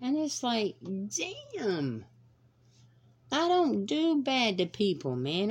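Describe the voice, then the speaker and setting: A woman talks in a Southern US accent, her pitch swinging very widely. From US South, North Carolina (Fayetteville). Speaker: podcast host. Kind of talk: solo monologue, casual rant. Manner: animated.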